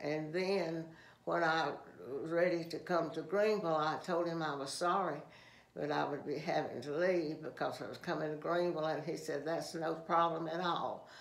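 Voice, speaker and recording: With a Southern US accent, a woman with a very deep, low pitch speaks at a moderate pace and fairly even intonation, against noticeable background noise. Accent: Southern American. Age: 80s+. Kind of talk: interview answer. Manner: hesitant, halting.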